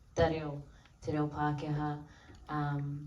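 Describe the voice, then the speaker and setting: A woman speaking at a very slow pace amid audible room echo. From New Zealand, Maori community. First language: Maori. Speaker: actor. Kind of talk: festival Q&A. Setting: stage with audience. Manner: hesitant, many fillers.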